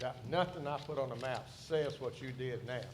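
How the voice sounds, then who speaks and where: Somewhat breathy speech comes at a moderate pace, with audible room echo. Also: man. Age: 70s. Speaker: site designer witness. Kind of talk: hearing testimony.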